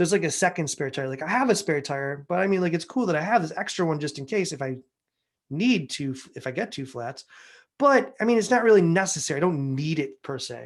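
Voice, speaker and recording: The man's fairly high voice rises and falls in lively intonation at a very fast pace. His loudness swings widely from moment to moment. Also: quiet background. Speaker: software developer and conference speaker. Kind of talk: tech talk at a meetup. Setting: meetup talk with audience. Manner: filler-heavy, casual with frequent um and like.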